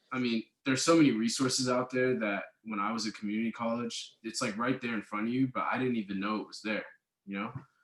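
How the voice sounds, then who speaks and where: Here a man with an American accent talks in a normal speaking voice at a medium pitch. His pace is fairly quick and his intonation fairly even. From Oakland, California. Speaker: former community college student. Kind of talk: casual interview chat.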